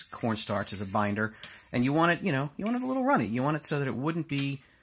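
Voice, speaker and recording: Light background noise under a man's voice. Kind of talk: tutorial. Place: kitchen. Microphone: camera far.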